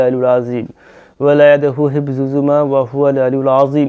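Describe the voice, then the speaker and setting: Dark, mellow tone from a man with fairly high pitch. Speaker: religious healing video host. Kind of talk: tutorial.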